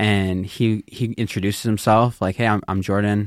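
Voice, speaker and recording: A man with an American accent has a plain, everyday voice, fairly low in pitch, with fairly even intonation. The sound is dry and close with no echo, and the recording is very clean over a silent background. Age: 20s. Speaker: youth and young adult pastor. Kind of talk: casual chat, personal testimony.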